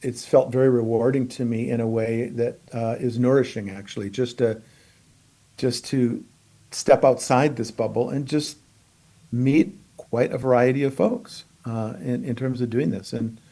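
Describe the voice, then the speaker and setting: This man's medium-pitched voice has a dark, mellow tone and fairly even intonation. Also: moderate pace. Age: 70s. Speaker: consultant and coach. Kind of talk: casual chat. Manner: halting.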